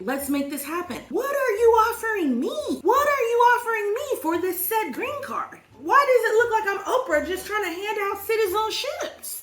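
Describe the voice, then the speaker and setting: A woman with an American accent speaks at a moderate pace in an extremely high voice, her pitch swinging very widely with hardly any pauses, and the room echo is audible. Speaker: vlogger. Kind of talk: casual storytime vlog. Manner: animated, chatty.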